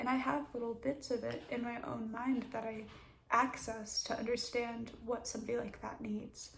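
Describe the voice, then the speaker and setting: A soft-spoken woman with a fairly high pitch talks in a monotone, flat intonation, with audible room echo. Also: moderate pace. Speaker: mental health vlogger. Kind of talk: personal story time. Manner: halting.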